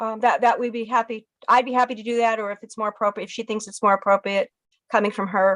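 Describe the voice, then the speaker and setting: A woman's voice with a dry, close sound with no echo and a quiet background. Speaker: state education agency attorney. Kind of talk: legislative testimony. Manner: fast.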